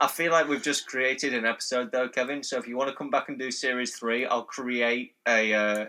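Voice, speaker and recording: A man's medium-pitched voice in a Yorkshire accent, fairly quick with hardly any pauses and fairly even intonation. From North Yorkshire, England. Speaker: podcast host. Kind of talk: casual chat.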